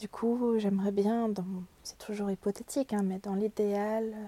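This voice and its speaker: A woman speaks in a fairly high voice with a dark, mellow tone and flat, monotone intonation, recorded dry and close with no echo. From Brittany, France. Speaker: art therapist and illustrator. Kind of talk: interview. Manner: hesitant, many repetitions and fillers.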